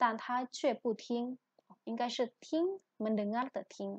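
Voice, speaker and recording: A woman speaks with an Indonesian accent at a high pitch. Her pitch varies in an ordinary way. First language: Indonesian (speaking Chinese). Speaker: Chinese language lecturer. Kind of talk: lecture.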